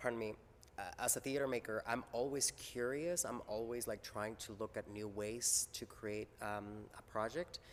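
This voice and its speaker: Moderate pace and ordinary pitch variation, with a Spanish accent. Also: man, medium pitch for a man. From Mexico. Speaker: theater maker. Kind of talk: interview. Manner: halting, many fillers and repeats.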